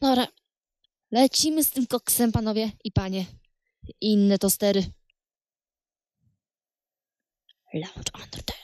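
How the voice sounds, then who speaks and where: A woman talks at a moderate pace with long, frequent pauses and ordinary pitch variation, her dry, echo-free sound set against a quiet background. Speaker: game commentator. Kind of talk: casual gameplay commentary.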